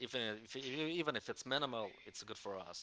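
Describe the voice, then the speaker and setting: At a moderate pace, a man with a non-native accent speaks in a bright, sharp tone. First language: not English. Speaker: crypto community call moderator. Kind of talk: community call discussion. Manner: halting, many false starts.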